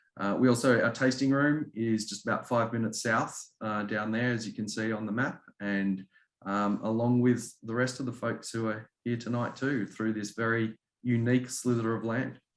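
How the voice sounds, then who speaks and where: With a slight Australian accent, a man speaks at a moderate pace and a medium pitch. His intonation stays monotone and flat. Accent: subtle Australian. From Australia, Melbourne. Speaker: winery representative. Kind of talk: presentation at a virtual wine tasting. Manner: hesitant, many fillers.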